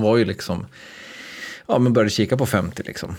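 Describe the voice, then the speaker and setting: With an ordinary speaking voice, a man talks at a fairly quick pace, with fairly low pitch and fairly even intonation. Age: 30s. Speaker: podcast host. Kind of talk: casual chat.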